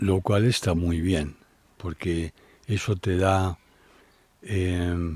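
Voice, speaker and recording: Very slowly, a man speaks in a dark, mellow tone. The sound is dry and close with no echo, on a very clean recording with a silent background. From Spain, Madrid. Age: 70s. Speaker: traveler and adventurer. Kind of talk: interview, life story.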